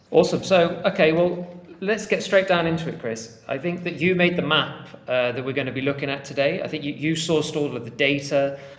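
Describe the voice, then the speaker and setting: Over noticeable background noise and audible room echo, a man with a fairly high pitch talks at a fairly quick pace, with ordinary pitch variation and hardly any pauses. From England. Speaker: podcast host. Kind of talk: casual podcast chat.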